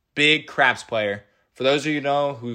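A man's bright, sharp-toned voice at a moderate pace. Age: 20s. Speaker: podcast co-host. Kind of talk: casual chat.

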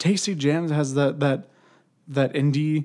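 In a very clean recording with a silent background, a man with an ordinary speaking voice talks at a fairly high pitch with fairly even intonation. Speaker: podcast host. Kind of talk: casual interview.

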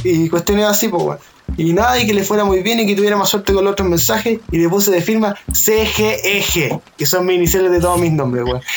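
Talking at a very fast pace in a high pitch, a man with a Chilean accent keeps his loudness very even and his pitch variation ordinary, with noticeable background noise behind him. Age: 20s. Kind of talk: casual chat.

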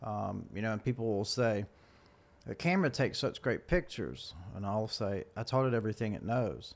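Lively intonation marks this man's fairly low voice. He has a plain, everyday voice and a fairly quick pace. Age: 40s. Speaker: photographer. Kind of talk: casual chat.

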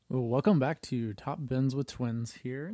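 A man speaks at medium pitch and a moderate pace in a dark, mellow tone. The sound is dry and close, with no echo. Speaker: soccer podcast co-host. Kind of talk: casual chat. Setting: same room as co-host. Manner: monotone.

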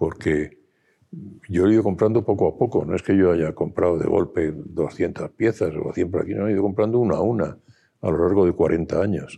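At a moderate pace, a man talks in a fairly low, dark, mellow voice with ordinary pitch variation. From Spain, Madrid. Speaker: gallery owner and publisher. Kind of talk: interview.

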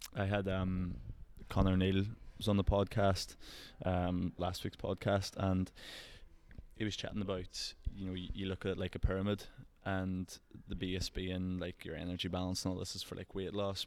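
Over a silent background in a very clean recording, a man with an Irish accent speaks in a very deep, low pitch, his intonation flat and monotone, with long, frequent pauses. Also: moderate pace. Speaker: podcast host, Gaelic footballer. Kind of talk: casual interview chat.

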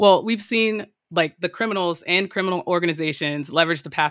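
At a fairly quick pace, a woman with an ordinary speaking voice talks in a fairly low pitch with ordinary pitch variation. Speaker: cyber risk director. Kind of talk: interview explaining OT security.

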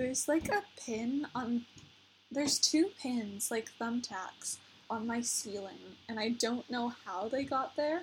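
Shrill and high-pitched, a woman speaks at a very slow pace with ordinary pitch variation. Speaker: amateur podcaster. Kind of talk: casual chat. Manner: animated; giggly.

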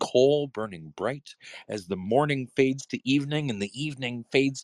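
The reading aloud is plain. Pitch variation is ordinary.

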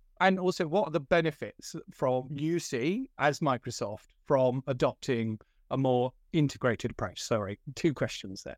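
A man's normal speaking voice, fairly high in pitch with lively intonation at a moderate pace, dry and close with no echo in a very clean recording against a silent background. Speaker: podcast host, security industry professional. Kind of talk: interview.

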